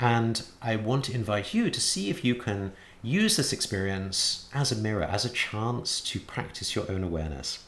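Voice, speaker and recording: Audible room echo surrounds a man speaking at a medium pitch and a moderate pace. His intonation is lively, with hardly any pauses. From England. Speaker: Buddhist teacher. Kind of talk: lecture. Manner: frequent hesitations and repetitions.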